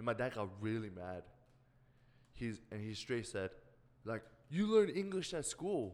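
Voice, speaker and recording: A man with a slight Korean accent speaks at a medium pitch and a fairly slow pace, with very wide pitch swings and long, frequent pauses. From South Korea. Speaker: podcast co-host. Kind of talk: casual chat.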